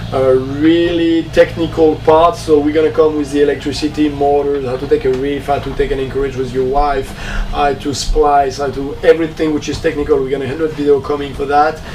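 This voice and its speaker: A man's fairly high, monotone, flat voice at a fairly quick pace, amid noticeable background noise. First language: French. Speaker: sailing vlogger and former professional skipper. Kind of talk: casual vlog talk. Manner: halting, many fillers.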